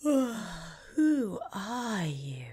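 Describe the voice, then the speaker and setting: A female-sounding voice puts on a character voice at a medium pitch for a woman, swinging very widely up and down in pitch. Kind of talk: slow, drawling. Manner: languid, sleepy.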